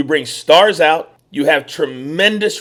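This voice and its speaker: A man's passionate tone at a moderate pace, with ordinary pitch variation. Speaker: wrestling commentator. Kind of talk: podcast commentary to camera. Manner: emphatic, passionate.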